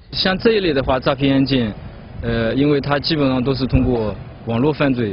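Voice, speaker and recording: A man talks at a fairly quick pace with ordinary pitch variation, his voice dry with no echo over light background noise. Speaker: police officer. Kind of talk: interview answer. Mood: calm, official. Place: street.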